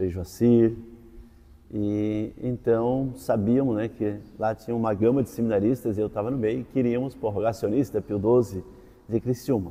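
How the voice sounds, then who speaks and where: This man has an unremarkable speaking voice with a fairly low pitch. His intonation stays fairly even. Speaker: teacher, former seminarian. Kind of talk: interview testimony.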